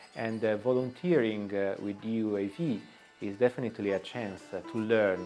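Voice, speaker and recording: A man at a fairly low pitch with ordinary pitch variation, moderate pace, music in the background. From Italy. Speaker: aid volunteer. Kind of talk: interview answer.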